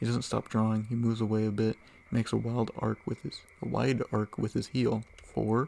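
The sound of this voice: Reading voice, unforced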